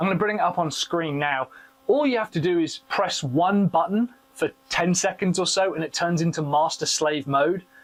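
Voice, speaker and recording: There is noticeable background noise as a man speaks at a high pitch. His pace is moderate and his pitch variation ordinary. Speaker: tech product reviewer. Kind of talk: product review tutorial. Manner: loud.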